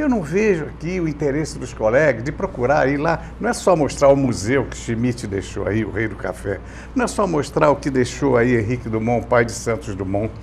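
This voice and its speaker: Noticeable background noise behind a man speaking at a moderate pace, hardly any pauses. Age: 80s+. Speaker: veteran journalist. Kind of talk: casual chat.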